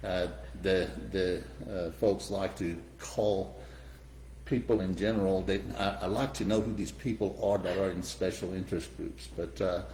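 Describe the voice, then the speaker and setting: A man speaks at a very deep, low pitch with lively intonation, a dark, mellow tone and vocal fry, and the room echo is audible. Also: moderate pace. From Iran. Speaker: real estate developer. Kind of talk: interview. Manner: halting, many fillers.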